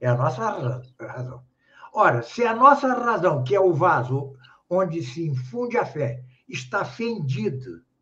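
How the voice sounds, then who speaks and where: Amid audible room echo, a man speaks at a very slow pace while his pitch swings very widely. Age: 70s. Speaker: philosopher and grammarian. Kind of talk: interview. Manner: halting.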